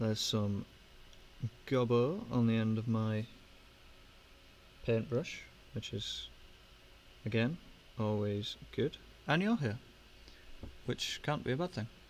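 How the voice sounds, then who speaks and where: With a British accent, a man speaks at a very slow pace and a medium pitch, with ordinary pitch variation. Long, frequent pauses break up his speech. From Britain. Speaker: miniature painting livestreamer. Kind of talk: casual livestream chat while painting. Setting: live stream with webcam. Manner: hesitant, filler-heavy.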